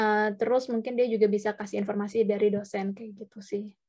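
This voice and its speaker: A woman with an unremarkable speaking voice talks at a fairly quick pace, her pitch fairly high and her intonation fairly even, against a quiet background. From Indonesia. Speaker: webinar speaker, working student; webinar speaker. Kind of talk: presentation and Q&A. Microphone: video call.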